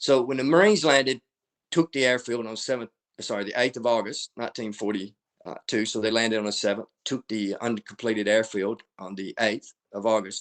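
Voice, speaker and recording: Against a quiet background, a man with an American accent speaks fairly quickly at medium pitch with ordinary pitch variation, in a dry, close sound with no echo. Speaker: military historian and author. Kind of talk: lecture. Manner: fast.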